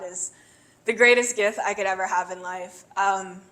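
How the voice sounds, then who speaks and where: At a fairly slow pace, a woman speaks with a medium pitch and fairly even intonation. Her tone is bright and sharp. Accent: American. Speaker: beauty pageant contestant. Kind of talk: interview.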